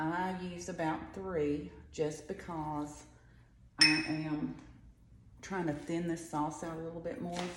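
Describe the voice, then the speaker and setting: A woman talks quietly with ordinary pitch variation, and room echo is audible. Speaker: home cook. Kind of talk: cooking tutorial. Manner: chatty.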